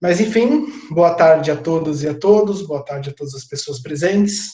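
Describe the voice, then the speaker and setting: This man talks at a moderate pace in a fairly high pitch, with ordinary pitch variation. His loudness swings widely, and there is audible room echo. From Alagoas, northeastern Brazil. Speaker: sociology professor. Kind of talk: lecture. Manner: halting, repeats words.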